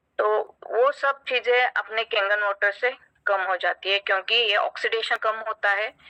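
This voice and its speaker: With fairly even intonation, a woman's tone comes across bright and sharp. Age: 50s. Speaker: doctor giving product testimonial. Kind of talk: testimony. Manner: halting, frequent fillers.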